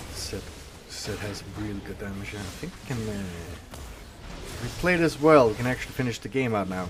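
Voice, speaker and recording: A man with a fairly low voice speaks at a fairly quick pace with lively intonation, big swings in loudness and long, frequent pauses, over noticeable background noise and audible room echo. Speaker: gaming YouTuber. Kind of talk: live gameplay commentary.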